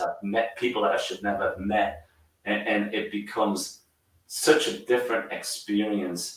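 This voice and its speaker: Moderately paced speech from a man with an American accent, plus audible room echo. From northern England, Newcastle. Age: 60s. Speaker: college soccer coach. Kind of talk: podcast interview.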